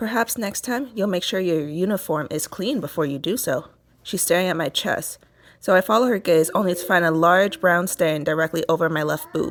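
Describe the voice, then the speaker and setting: An unremarkable speaking voice moves at a fairly quick pace with ordinary pitch variation, captured in a very clean recording with a silent background. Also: woman, fairly low pitch for a woman. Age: 20s. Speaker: podcaster reading a novel aloud. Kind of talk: reading aloud.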